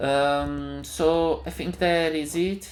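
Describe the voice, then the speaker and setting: Very slowly, a man speaks in a room with audible echo. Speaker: software developer. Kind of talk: tutorial. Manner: halting.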